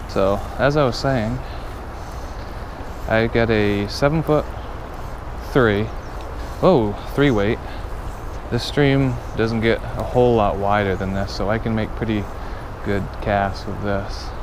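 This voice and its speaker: A man's fairly low voice with ordinary pitch variation and long, frequent pauses, dry with no echo, over noticeable background noise. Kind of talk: casual vlog chat. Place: waterside. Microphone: phone near.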